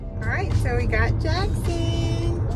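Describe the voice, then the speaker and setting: Very slow speech over clear background music. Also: woman. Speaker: stay-at-home mom vlogger. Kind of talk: casual vlog chat. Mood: cheerful, chatty. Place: car. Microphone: phone near.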